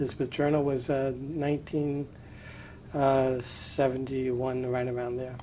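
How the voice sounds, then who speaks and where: Speaking at a moderate pace in an American accent, a man delivers his words with monotone, flat intonation amid audible room echo. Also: medium pitch for a man. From New York City (Brooklyn). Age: 60s. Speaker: retired journalist, newspaper editor. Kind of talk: oral history interview. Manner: halting, many fillers.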